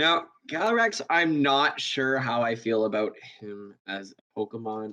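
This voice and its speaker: A man talks at a fairly slow pace with lively intonation. He has an ordinary speaking voice. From Canada. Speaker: podcast guest, gaming community member. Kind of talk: casual chat.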